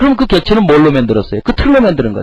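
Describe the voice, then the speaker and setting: This man talks at a very fast pace in a high pitch, his voice making very wide pitch swings. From Korea, Chungcheong region. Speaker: lecturer. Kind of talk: lecture.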